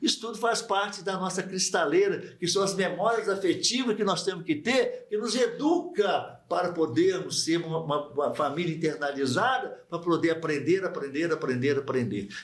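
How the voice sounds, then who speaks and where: His high voice moves at a moderate pace with lively intonation, and this man hardly pauses at all. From Brazil, Barbacena, Minas Gerais. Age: 70s. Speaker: psychiatrist and medical professor. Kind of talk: radio interview.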